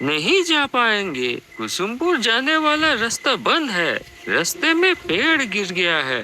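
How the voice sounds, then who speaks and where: Clear background noise sits behind a put-on character voice. It is fairly high in pitch and moves at a fairly slow pace. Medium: read story. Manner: polite, deferential, insistent.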